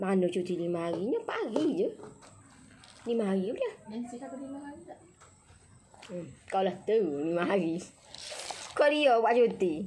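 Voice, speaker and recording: Over light background noise, a woman speaks at a moderate pace with long, frequent pauses. Her voice shows very wide pitch swings and big swings in loudness. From Malaysia. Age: 30s. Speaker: home business seller; online seller hosting a live stream. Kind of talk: live-stream sales chat. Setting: Facebook live stream. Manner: animated. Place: garden. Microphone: phone near.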